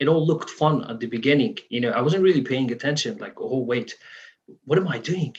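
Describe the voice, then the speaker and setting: Fairly high for a man and somewhat breathy, his voice carries lively intonation at a fairly quick pace. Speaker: musician. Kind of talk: interview.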